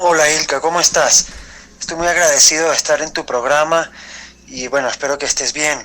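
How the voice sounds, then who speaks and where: A man with an ordinary speaking voice talks at a fairly high pitch. His intonation stays fairly even. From Venezuela. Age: young. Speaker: writer. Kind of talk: interview answer. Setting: voice message.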